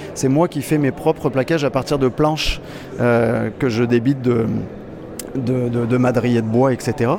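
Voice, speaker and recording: Speaking fairly slowly at a medium pitch, a man keeps his intonation fairly even and his loudness very even, leaving long, frequent pauses over noticeable background noise. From France. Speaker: luthier. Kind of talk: trade show interview. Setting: guitar trade show.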